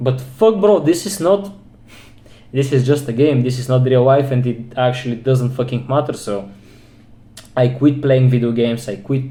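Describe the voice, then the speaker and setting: A man's medium-pitched, somewhat breathy voice with a dark, mellow tone, ordinary pitch variation, a moderate pace and audible room echo. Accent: non-native. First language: non-English. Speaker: self-improvement vlogger. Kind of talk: personal monologue vlog. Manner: halting.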